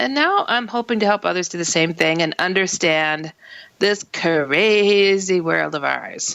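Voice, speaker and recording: A woman with a normal speaking voice, fairly low pitch, ordinary pitch variation and a fairly slow pace. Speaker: radio show host. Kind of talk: talk radio show hosting. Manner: casual, chatty.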